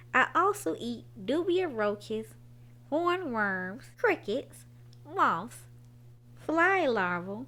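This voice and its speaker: A woman puts on a character voice. She talks at a very slow pace, with long, frequent pauses. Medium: read story.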